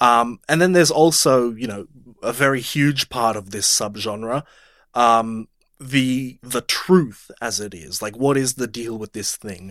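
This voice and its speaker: A plain, everyday voice from a man at a medium pitch with ordinary pitch variation, fairly slow pace and big swings in loudness, in a very clean, silent, dry, close recording with no echo. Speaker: podcast host, movie discussion. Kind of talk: casual chat, banter.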